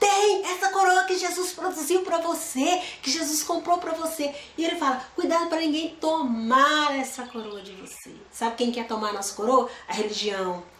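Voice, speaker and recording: A woman with a high pitch speaks at a moderate pace, her voice making very wide pitch swings amid audible room echo. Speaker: Bible teacher. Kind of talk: Bible study.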